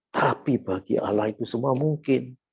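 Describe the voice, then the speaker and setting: A man's dark, mellow tone at a moderate pace. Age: 70s. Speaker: lay preacher. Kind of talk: sermon.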